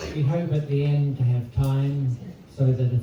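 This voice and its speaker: A man with a New Zealand accent speaks at a fairly slow pace and a medium pitch. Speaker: eulogist. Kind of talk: eulogy. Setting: memorial service with audience. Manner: soft-spoken; formal.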